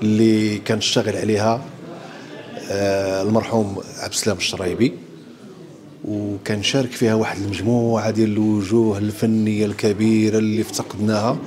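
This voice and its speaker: A man talks in a monotone, flat way at a fairly low pitch. His pace is moderate, with light background noise. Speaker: theatre actor. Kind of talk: interview answer. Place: hall. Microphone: handheld.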